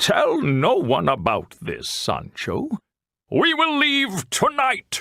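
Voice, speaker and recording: Using a put-on character voice, a man talks very slowly in an extremely high pitch. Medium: read story. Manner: grand, theatrical.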